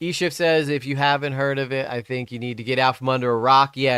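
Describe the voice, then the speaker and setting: In a very clean recording with a silent background, a man speaks at a fairly quick pace with a medium-pitched voice and a bright, sharp tone. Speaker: live streamer reacting to videos. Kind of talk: live stream reaction chat. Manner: casual, conversational.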